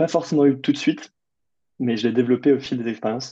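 Medium pitch and ordinary pitch variation from a male speaker. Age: 20s. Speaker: adventurer and author. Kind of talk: interview. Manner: hesitant, many fillers.

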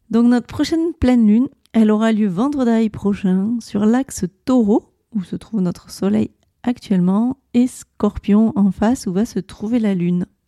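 A woman's dark, mellow tone at a fairly high pitch, fairly slow, with ordinary pitch variation and a dry, close sound with no echo. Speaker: astrology podcast host. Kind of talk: solo podcast monologue.

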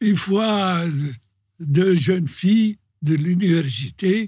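This man's voice sits high in pitch and moves with ordinary pitch variation. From Algeria, Algiers (Belcourt). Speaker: dancer and choreographer. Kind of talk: interview.

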